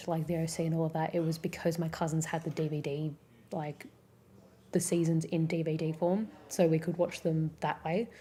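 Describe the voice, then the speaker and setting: A woman's somewhat breathy voice, fairly low in pitch, with a dark, mellow tone. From Australia. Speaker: streamer. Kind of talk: casual chat. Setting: live stream. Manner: fast.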